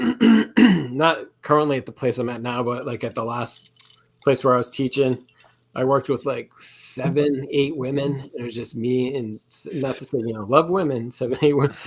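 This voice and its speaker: At a moderate pace, a man with a medium pitch keeps his intonation fairly even while his loudness swings widely. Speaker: podcast co-host, teacher. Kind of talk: casual chat. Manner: soft-spoken.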